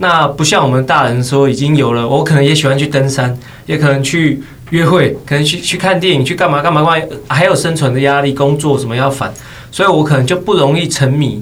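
A man at fairly high pitch and a fairly quick pace, with fairly even intonation, audible room echo and noticeable background noise. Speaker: esports commentator and game streamer. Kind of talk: casual chat.

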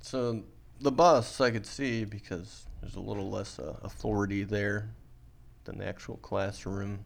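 In a normal speaking voice, a man talks at a fairly slow pace and fairly low pitch, with lively intonation and big swings in loudness. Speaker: podcast host. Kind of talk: casual banter.

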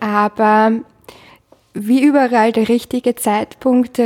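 A woman's fairly high-pitched, dark, mellow voice at a fairly slow pace, with a dry, close sound and no echo. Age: 20s. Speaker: career counselor. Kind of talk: interview.

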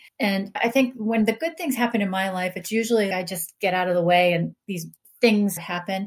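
Somewhat breathy, a woman with an American accent talks at a fairly quick pace with ordinary pitch variation. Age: 50s. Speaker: Air Force veteran, organizational consultant. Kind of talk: interview conversation.

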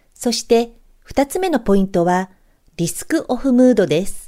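Dark and mellow, this woman's voice carries her words. She talks at a fairly slow tempo. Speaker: stock trader and blogger. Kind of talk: scripted market commentary. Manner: formal.

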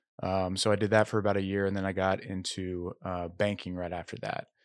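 A man with an American accent talks at a moderate pace, his pitch very deep and low. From Oklahoma (Tulsa). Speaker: former banker, actor. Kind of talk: casual chat.

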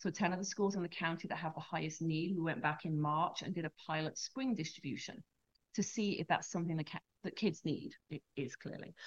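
A woman with an unremarkable speaking voice talks at a fairly quick pace, using ordinary pitch variation. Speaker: charity director. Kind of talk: interview conversation. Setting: studio.

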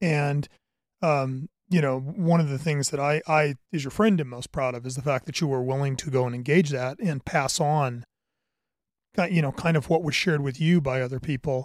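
In a very clean recording with a silent background, a man with a normal speaking voice talks at a moderate pace, his fairly high pitch showing ordinary variation. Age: 50s. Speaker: podcast host, tactical equipment businessman. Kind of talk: casual interview.

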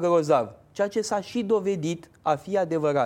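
On a very clean recording with a silent background, a man with a high pitch and a dark, mellow tone speaks at a fairly slow pace. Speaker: presidential candidate. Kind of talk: political interview. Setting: TV studio.

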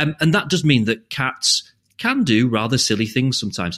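A man with a British accent talks at medium pitch and a moderate pace. His intonation is lively. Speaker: podcast host. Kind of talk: casual interview chat.

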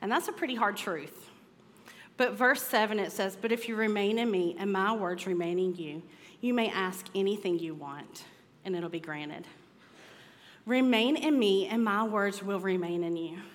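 Over audible room echo, a woman with a medium pitch talks at a moderate pace in an animated tone, with ordinary pitch variation. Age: 30s. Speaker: women's ministry speaker. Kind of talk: sermon.

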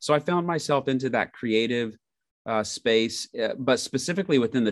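Against a quiet background, a man with a US Midwestern accent talks at a moderate pace with lively intonation. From Indiana, US Midwest. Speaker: ministry organization executive. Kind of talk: interview podcast.

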